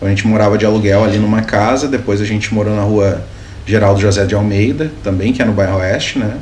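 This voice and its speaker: A man races along at a very fast pace, fairly low-pitched with fairly even intonation and very even loudness. Noticeable background noise and audible room echo fill the recording. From Sapiranga, Rio Grande do Sul, southern Brazil. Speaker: municipal government adviser. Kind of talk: interview.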